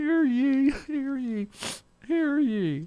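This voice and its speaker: In a high-pitched, put-on character voice, the speaker delivers the lines. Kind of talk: archaic, formal.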